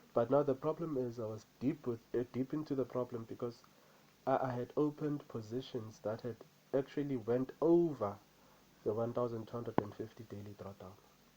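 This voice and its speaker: Speaking at a fairly quick pace with a non-native accent, a man has a medium pitch and a dark, mellow tone. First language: not English. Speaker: trader. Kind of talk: vlog, personal experience. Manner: repetitive, halting.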